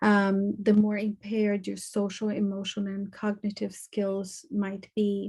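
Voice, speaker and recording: A woman with a dark, mellow, somewhat breathy tone talks at medium pitch and a fairly slow pace in a monotone, flat intonation, with hardly any pauses. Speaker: conference presenter on trauma. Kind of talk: lecture.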